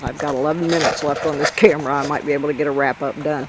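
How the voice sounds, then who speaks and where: A woman speaks in a Southern US accent. Noticeable background noise runs behind her. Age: old. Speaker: metal detectorist. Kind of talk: casual narration to camera.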